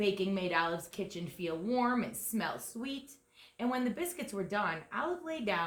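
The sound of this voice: An unforced reading voice with lively intonation carries the speech.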